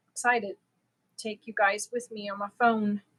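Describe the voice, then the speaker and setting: This woman's tone is bright and sharp. Her intonation stays monotone and flat. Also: dry, close sound with no echo. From Germany. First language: German. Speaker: crochet livestreamer. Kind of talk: casual chat. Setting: live stream.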